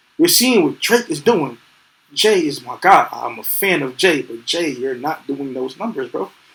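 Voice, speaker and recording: With a New York accent, a man speaks at a fairly high pitch, his voice swinging very widely in pitch and heavily in loudness. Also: moderate pace. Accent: New York City. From New York City. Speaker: podcast co-host. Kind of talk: casual chat. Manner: animated.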